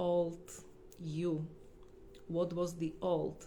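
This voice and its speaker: A woman speaks at a very slow pace with audible room echo. Her fairly low voice holds a monotone, flat intonation. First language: not English. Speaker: holistic healer. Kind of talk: livestream talk. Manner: halting.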